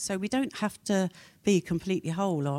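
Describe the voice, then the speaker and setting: A woman talks at a very fast pace in a dark, mellow tone with lively intonation. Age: 70s. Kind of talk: seminar talk. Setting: stage with audience.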